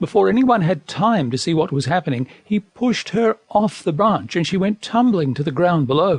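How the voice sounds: Lively intonation marks the natural reading voice heard here.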